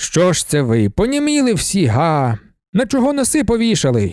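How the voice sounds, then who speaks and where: A man uses a put-on character voice pitched high, with very wide pitch swings at a moderate pace. The recording is very clean, with a silent background. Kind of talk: gruff, barking. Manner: mocking, sneering.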